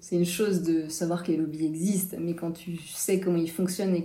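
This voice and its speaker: A woman with a fairly low, dark, mellow voice speaks in a somewhat breathy monotone with flat intonation, with audible room echo. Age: 30s. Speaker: freediving instructor and breathwork coach. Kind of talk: interview.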